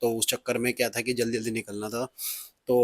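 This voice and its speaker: Dry, close sound with no echo and monotone, flat intonation. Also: man. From Punjab, India. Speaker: car vlogger. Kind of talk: car review vlog. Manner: hesitant with fillers.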